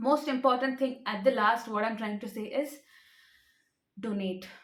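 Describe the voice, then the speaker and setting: A woman with a fairly high pitch and ordinary pitch variation. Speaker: rare disease advocate. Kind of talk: awareness talk to camera. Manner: fast.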